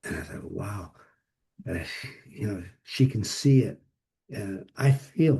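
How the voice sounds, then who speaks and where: A man's medium-pitched, somewhat breathy voice with a dark, mellow tone, very slow pace, long, frequent pauses, lively intonation, and big swings in loudness. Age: 80s+. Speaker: psychotherapist. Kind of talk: interview. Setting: video call. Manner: halting.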